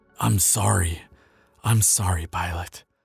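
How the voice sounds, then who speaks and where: A man puts on a character voice that is raspy and very deep. He speaks at a fairly slow pace. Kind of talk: intimate listener-addressed roleplay audio. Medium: audio drama. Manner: soft, earnest, hesitant.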